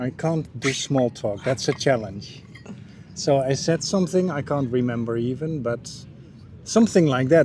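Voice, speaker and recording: A man with a dark, mellow tone and a somewhat breathy sound speaks at a moderate pace with lively intonation. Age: 60s. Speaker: dating app match, interview guest. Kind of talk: casual chat. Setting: on camera.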